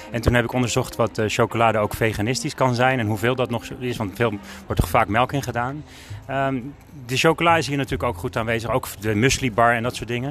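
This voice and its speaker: A man at a medium pitch talking at a very fast pace with fairly even intonation. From Netherlands, Alkmaar. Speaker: podcast interviewer. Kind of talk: casual interview.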